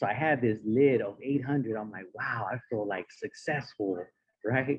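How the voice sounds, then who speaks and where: In a Spanish accent, a man talks at a fairly quick pace with ordinary pitch variation. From San Diego, California. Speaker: motivational speaker. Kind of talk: speech. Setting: stage with audience.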